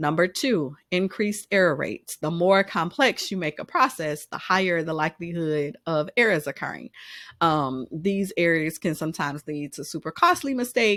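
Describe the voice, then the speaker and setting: In a dry, close sound with no echo, a woman with a fairly low pitch speaks at a moderate pace in a plain, everyday voice. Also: lively intonation. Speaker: business consultant. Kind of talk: business advice monologue. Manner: casual, with frequent fillers.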